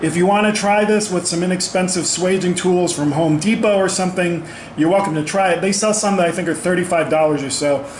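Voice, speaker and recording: A man speaks in a high voice at a fairly quick pace, with fairly even intonation, very even loudness and hardly any pauses, over audible room echo and light background noise. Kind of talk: tutorial. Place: garage. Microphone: phone near.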